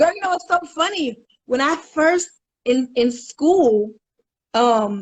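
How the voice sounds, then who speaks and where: An ordinary speaking voice from a woman with lively intonation. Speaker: spoken word poet. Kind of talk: casual interview chat. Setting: live video stream.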